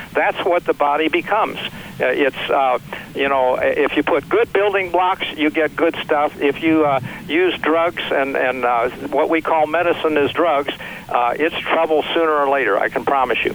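A man's fairly high-pitched voice at a moderate pace, with ordinary pitch variation, very even loudness and noticeable background noise. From US Midwest, Missouri (St. Louis). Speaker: physician and author. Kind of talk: interview.

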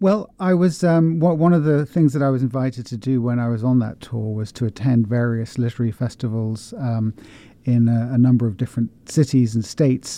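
This man has a southern English accent and a dark, mellow tone at a medium pitch. He talks at a fairly quick pace with ordinary pitch variation, over a quiet background. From England, West Country. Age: 50s. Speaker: author and bookshop owner. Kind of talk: interview. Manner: halting, many fillers.

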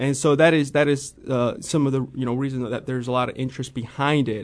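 A man speaks in a Midwestern American accent at a fairly quick pace. His medium pitch stays monotone and flat against a quiet background. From US Midwest, central Illinois. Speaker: financial analyst. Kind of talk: radio interview.

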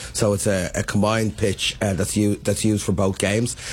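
This man speaks with a Dublin accent. His fairly low voice stays monotone and flat. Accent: Irish, Dublin. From Dublin, Ireland. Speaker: city mayor. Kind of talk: casual radio interview.

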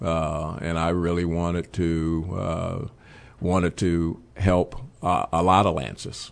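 A man with a very deep, low pitch speaks in a monotone, flat intonation with an American accent. His pace is very slow. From Chicago, West Side. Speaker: nonprofit youth organization director. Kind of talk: interview conversation. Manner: halting, many fillers and repetitions.

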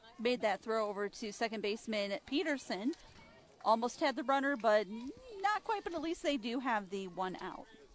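A woman with a fairly high pitch speaks with lively intonation at a moderate pace. Background noise is noticeable. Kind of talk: color commentary alongside play-by-play announcer. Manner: conversational, measured analyst, offering observations between pitches.

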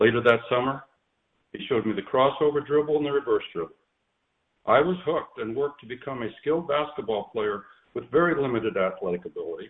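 Fairly high in pitch, a man talks at a very fast pace with ordinary pitch variation. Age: 60s. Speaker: former basketball coach, nephew of late coach. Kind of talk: prepared eulogy read aloud. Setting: phone call.

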